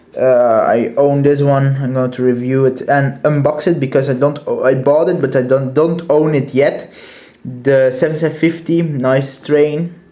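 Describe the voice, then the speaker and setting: A man talks at a moderate pace in a fairly high pitch. His intonation is monotone and flat, and the room echo is audible. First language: Dutch. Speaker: toy collector reviewer. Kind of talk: product review. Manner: halting, many fillers.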